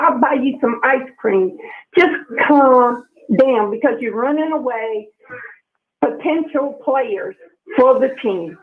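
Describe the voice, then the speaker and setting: A woman speaks at a very slow pace with long, frequent pauses. Her pitch is high and her intonation lively. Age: 60s. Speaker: sports radio caller. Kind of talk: call-in radio rant. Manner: animated.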